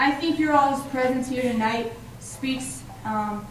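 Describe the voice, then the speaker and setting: Against noticeable background noise and audible room echo, a woman speaks at a fairly slow pace in a high pitch with fairly even intonation. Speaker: student emcee at campus event. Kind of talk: event speech. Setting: stage with audience.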